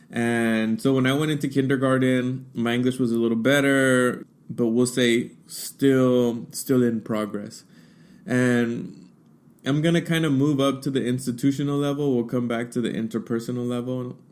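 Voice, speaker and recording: Medium-pitched and with fairly even intonation, a man speaks at a moderate pace. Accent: Spanish. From United States, Mexican-American family. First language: Spanish. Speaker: diversity educator, podcast host. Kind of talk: personal talk, solo podcast.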